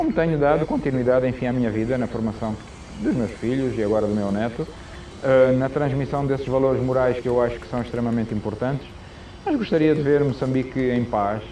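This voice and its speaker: Noticeable background noise sits behind a man of medium pitch who speaks at a fairly quick pace with fairly even intonation. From Mozambique. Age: 60s. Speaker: former national football coach. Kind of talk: interview.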